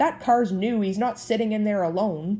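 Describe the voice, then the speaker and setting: Using a put-on character voice, a woman speaks at a medium pitch with ordinary pitch variation. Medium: read story. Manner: gruff, blustering.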